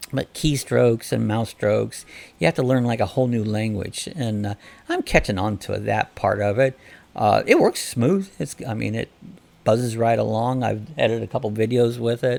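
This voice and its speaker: With a medium pitch and ordinary pitch variation, this man is talking. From US Midwest, northeast Ohio. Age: 60s. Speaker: channel host. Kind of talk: casual live-stream chat. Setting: live stream.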